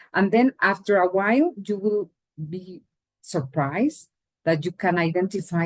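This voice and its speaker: Lively intonation and a somewhat breathy quality come through in a Latin American accent, recorded dry and close with no echo. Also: woman. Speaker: English teacher. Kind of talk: lecture.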